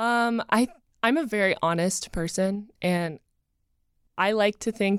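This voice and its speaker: A woman with an American accent talks at a fairly slow pace and medium pitch, with ordinary pitch variation and an unremarkable speaking voice. The recording is very clean, with a silent background. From North Carolina, Asheville. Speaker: dating show contestant, model. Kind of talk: casual chat.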